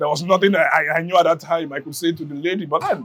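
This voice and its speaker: The speaker is a man with a Nigerian accent. His voice sits high in pitch. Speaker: community member. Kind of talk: interview testimony. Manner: halting, many fillers and repeats.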